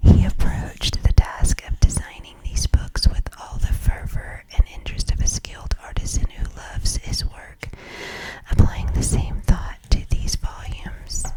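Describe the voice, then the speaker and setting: Whispering at a fairly slow pace amid noticeable background noise. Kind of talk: ASMR book reading.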